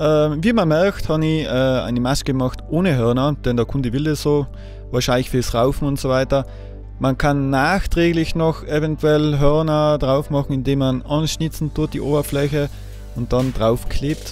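With faint music in the background and a dry sound with no echo, a man talks at a moderate pace, his fairly high pitch showing ordinary variation. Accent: slight Austrian. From Austria. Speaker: woodcarver, sculptor. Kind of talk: tutorial talk to camera. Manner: casual, hesitant with fillers. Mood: relaxed, casual.

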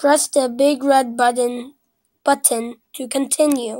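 A woman speaks at a very slow pace with a high, squeaky pitch and a dark, mellow tone. Her intonation stays monotone and flat. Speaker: gaming YouTuber. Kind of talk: gameplay commentary. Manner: casual, reactive.

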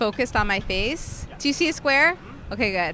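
Noticeable background noise surrounds a woman's voice. She speaks at a fairly quick pace in a high pitch. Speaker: podcast host. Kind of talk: casual chat. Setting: outdoors.

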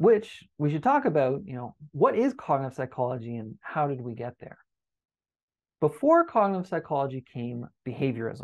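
A man with a Canadian accent has an unremarkable speaking voice, fairly high in pitch, at a moderate pace with lively intonation. His volume rises and falls a great deal over a quiet background. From Canada. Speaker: university lecturer. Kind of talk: lecture.

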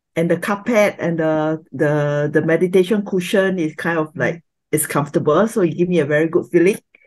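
A man at a fairly quick pace with hardly any pauses. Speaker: course participant. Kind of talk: casual sharing. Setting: video call. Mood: calm, relaxed. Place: home room. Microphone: webcam.

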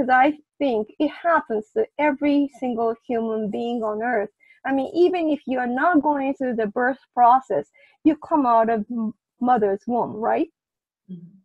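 Over a quiet background, a woman with a Japanese accent speaks at a moderate pace in a high pitch with ordinary pitch variation, the sound dry with no echo. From Japan, Kyoto. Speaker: prenatal memory researcher; interview guest. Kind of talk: interview. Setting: video call. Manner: halting. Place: home room. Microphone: video call.

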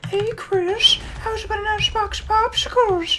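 A squeaky, put-on character voice moves at a very slow pace. Loud background noise fills the recording. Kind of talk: gameplay commentary. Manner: creepy.

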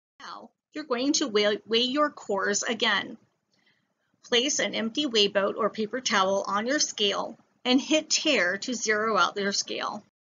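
A woman's normal speaking voice, fairly high in pitch, with ordinary pitch variation at a fairly slow pace. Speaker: science educator. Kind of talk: tutorial.

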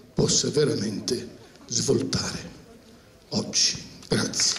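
A man speaks at a very slow pace. Audible room echo and light background noise surround him. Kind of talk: public address to a theatre audience. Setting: outdoor amphitheatre. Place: stage.

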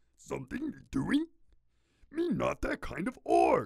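A man uses a gruff, put-on character voice. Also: fairly slow pace. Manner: dim, grunting.

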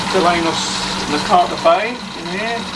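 A man talks with ordinary pitch variation over loud background noise. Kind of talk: casual conversation explaining fish. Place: home room. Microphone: phone near.

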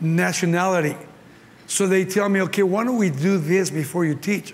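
A man with a high pitch and a Mexican accent, at a fairly quick pace with fairly even intonation. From Mexico. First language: Spanish. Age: 70s. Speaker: pastor. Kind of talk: sermon. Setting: stage with audience. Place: hall.

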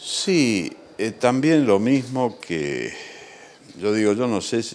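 A man is speaking. His intonation is lively. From Argentina. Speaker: war veteran, retired fighter pilot. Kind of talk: interview. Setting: legislature building. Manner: hesitant with fillers. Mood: calm, humble, reflective. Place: office. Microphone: handheld.

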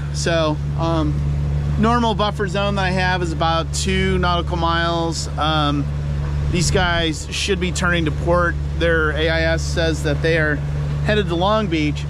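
A man speaks at a fairly slow pace over loud background noise, the sound dry with no echo. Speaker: solo sailor vlogger. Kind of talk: casual vlog chat. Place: boat. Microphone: phone near.

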